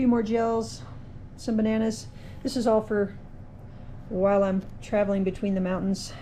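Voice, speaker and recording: In a room with audible echo, a woman with a dark, mellow, somewhat breathy tone speaks at a moderate pace with fairly even intonation. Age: 60s. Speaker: trail runner. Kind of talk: video diary. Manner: casual.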